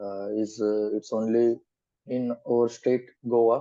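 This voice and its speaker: A man speaks at a very slow pace in a medium pitch. His tone is dark and mellow. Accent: Goan. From India, Goa. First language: Konkani. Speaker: student. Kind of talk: mock speaking exam. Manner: halting, hesitant.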